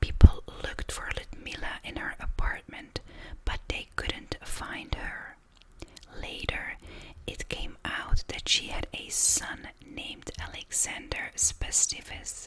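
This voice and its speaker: A whisper moves along at a very slow pace. There is noticeable background noise. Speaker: ASMR creator. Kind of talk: true crime story narration. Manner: whispered, soft-spoken.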